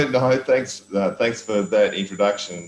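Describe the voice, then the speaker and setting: A man with an Australian accent takes a fairly slow pace. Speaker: volleyball coach and commentator. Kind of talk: interview.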